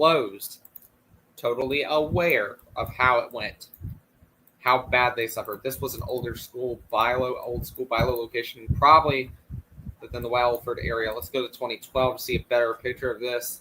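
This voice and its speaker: Here a man speaks with a bright, sharp tone, a medium pitch and fairly even intonation. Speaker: livestream host covering retail history. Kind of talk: live stream commentary over images. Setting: home studio livestream. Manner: fast.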